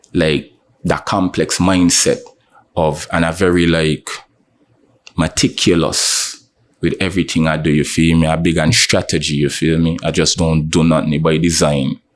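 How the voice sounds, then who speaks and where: This man has a St Kitts accent and a very deep, low pitch. His delivery is monotone and flat, at a moderate pace and very even loudness. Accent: St Kitts local. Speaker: rapper. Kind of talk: interview. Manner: casual.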